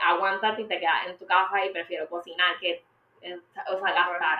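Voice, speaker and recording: A woman talks at a moderate pace with fairly even intonation. Hers is a plain, everyday voice. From Puerto Rico. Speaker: media industry professional. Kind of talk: interview.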